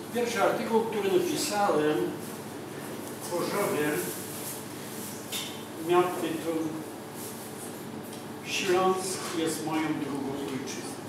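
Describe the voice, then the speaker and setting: A man speaks at a very slow pace with long, frequent pauses and ordinary pitch variation. Strong room echo and noticeable background noise fill the recording. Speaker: guest. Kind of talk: personal talk to an audience. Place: cafe. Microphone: camera far.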